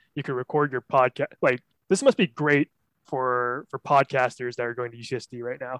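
A man in a plain, everyday voice, with an American accent, medium pitch, fairly even intonation and a moderate pace, the sound dry and close with no echo. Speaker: podcast host. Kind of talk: casual comedy banter.

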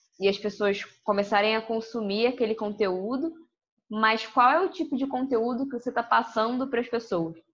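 A woman's fairly high voice, an unremarkable speaking voice with ordinary pitch variation, against a quiet background. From Rio de Janeiro, Brazil. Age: 20s. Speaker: social media content creator. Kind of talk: casual interview chat.

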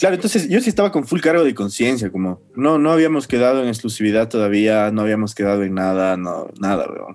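A man talks with an ordinary speaking voice at medium pitch. His pace is fairly quick, with lively intonation and hardly any pauses. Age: 20s. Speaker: psychologist. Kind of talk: casual chat.

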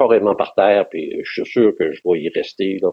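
A man with a Quebec accent at a fairly slow pace. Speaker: retired pilgrim, former photographer. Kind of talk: casual interview.

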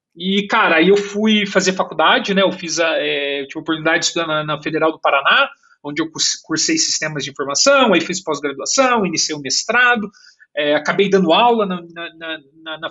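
Pitch varies in an ordinary way while the delivery holds a moderate pace. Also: man. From Brazil, Curitiba. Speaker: engineering director. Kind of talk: casual interview. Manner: animated; halting with repeated words.

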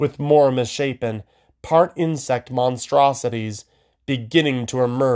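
The voice is plain reading aloud against a quiet background.

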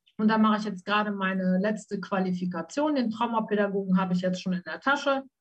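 Somewhat breathy, a woman at medium pitch talks at a very fast pace with hardly any pauses and ordinary pitch variation. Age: 50s. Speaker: trauma coach. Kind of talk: interview about her life.

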